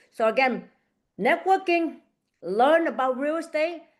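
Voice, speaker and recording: Lively intonation carries a non-native accent at a moderate pace. The background is quiet. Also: woman. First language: not English. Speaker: real estate agent and coach. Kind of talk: online group coaching session. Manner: halting, repeats words.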